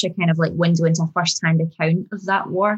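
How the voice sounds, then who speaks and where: Speaking at a fairly quick pace, a woman uses a plain, everyday voice with a fairly low pitch. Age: 30s. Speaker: screenwriter. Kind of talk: interview.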